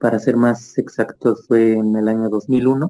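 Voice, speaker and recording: In a dark, mellow tone, a man speaks at a medium pitch with monotone, flat intonation. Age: 40s. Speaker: near-death experience witness, actor and opera singer. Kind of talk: testimony. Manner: halting, many fillers.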